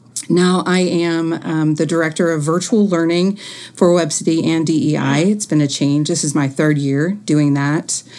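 A woman with an American accent talks at a moderate pace in a fairly low pitch, with fairly even intonation and an ordinary speaking voice. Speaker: niece of Nancy Cruzan, educator.

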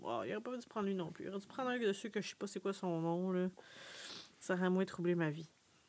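A woman with a Quebec accent talks very fast at medium pitch, her intonation lively. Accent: Québécois French. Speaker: podcast co-host. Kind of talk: casual chat.

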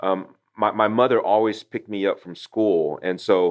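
Fairly low in pitch, a man speaks at a moderate pace. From Taiwan, moved to Houston, Texas at 8. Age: 40s. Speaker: company founder. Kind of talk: interview. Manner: halting, many repetitions.

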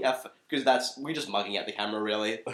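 A man speaks with an Australian accent. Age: 20s. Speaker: comedy podcast co-host. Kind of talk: casual chat.

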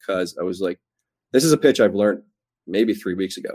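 A man with a fairly low voice speaks at a fairly quick pace, recorded very cleanly against a silent background with a dry, close sound and no echo. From Canada. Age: young. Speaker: baseball pitcher prospect. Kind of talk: interview.

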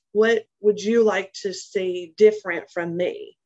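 Using a plain, everyday voice, a woman speaks in a fairly high pitch with ordinary pitch variation. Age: 40s. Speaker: human resources professional. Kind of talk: interview.

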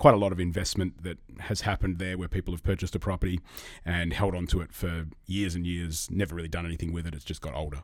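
On a very clean recording with a silent background, a man with an Australian accent speaks fairly quickly in a very deep, low voice. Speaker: real estate agent. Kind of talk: casual interview chat. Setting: studio.

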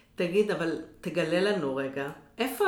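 Speaking very slowly, a woman is heard with audible echo from the room. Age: 50s. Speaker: podcast host and business coach. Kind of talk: interview.

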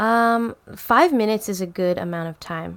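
A woman with an unremarkable speaking voice talks at a moderate pace, her medium pitch varying in an ordinary way. The recording is very clean, with a silent background. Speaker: yoga instructor. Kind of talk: casual interview chat.

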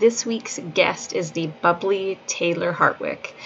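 Noticeable background noise sits behind a woman speaking at medium pitch. She talks at a moderate pace with ordinary pitch variation. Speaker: podcast host. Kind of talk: casual interview.

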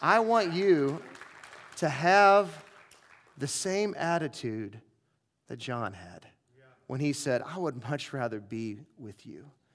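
With crowd noise in the background, a man speaks at a very slow pace with long, frequent pauses. His voice is fairly high and swings very widely in pitch. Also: big swings in loudness. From US Midwest, St. Louis. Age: 40s. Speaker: pastor. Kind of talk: sermon. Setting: church.

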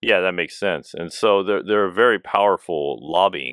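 Vocal fry marks this man's very deep, low pitch, delivered with an American accent. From United States. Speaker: podcast co-host. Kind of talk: casual chat. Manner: halting.

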